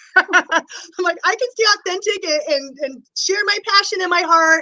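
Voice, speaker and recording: With a raised, projected voice, a woman speaks in an enthusiastic, bright and sharp tone at an extremely high pitch with ordinary pitch variation. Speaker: interview host, body code practitioner. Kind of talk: interview. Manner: fast.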